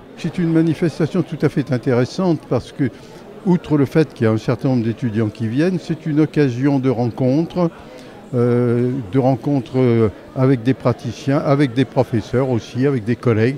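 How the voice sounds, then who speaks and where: A man of medium pitch talks at a moderate pace with ordinary pitch variation amid noticeable background noise. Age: old. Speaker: legal professional at a book fair. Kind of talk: short interview.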